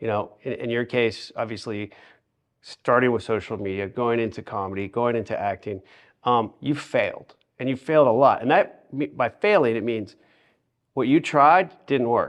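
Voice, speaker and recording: A man with a plain, everyday voice, medium pitch, ordinary pitch variation and a moderate pace, in a quiet background. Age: 40s. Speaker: podcast host. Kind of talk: interview podcast.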